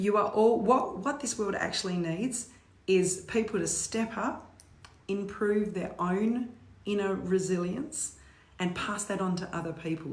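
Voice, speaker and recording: A woman of medium pitch with an Australian accent, amid audible room echo and noticeable background noise. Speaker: motivational speaker. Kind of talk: live stream talk. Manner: animated.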